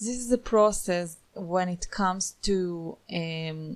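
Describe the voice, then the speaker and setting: Here a woman talks with a non-native accent. Her pitch is medium and moves in an ordinary way. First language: not English. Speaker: online course instructor. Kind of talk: screen-recorded tutorial. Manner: casual, with frequent fillers.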